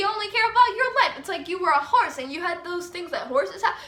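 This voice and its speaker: Her tone is animated and her voice raised and projected. The woman's pitch swings very widely. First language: Spanish. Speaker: vlogger giving advice. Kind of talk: casual monologue.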